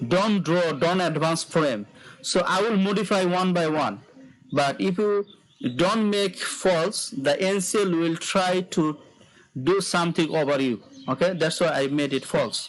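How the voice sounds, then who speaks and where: A man with a high voice talks at a fairly slow pace with very even loudness. Noticeable background noise runs underneath. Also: ordinary pitch variation. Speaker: online course instructor. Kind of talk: tutorial. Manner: slow, deliberate pacing.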